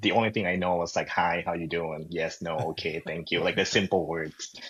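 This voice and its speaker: At a fairly quick pace, a man with a Thai accent speaks in a very deep, low voice. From Thailand, Bangkok. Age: 30s. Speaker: real estate agent. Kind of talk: casual interview chat.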